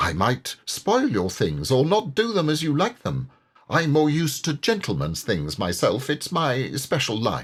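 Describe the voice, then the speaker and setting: A man's breathy, put-on character voice, fairly high in pitch, at a moderate pace. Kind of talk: put-on lower-class woman's speech. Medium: read story. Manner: boastful, airy.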